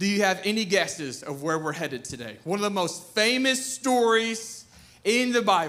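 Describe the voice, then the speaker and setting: An animated man with a high voice and an American accent, very wide pitch swings, audible room echo and noticeable background noise. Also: moderate pace. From US South. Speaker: pastor. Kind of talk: sermon. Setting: church.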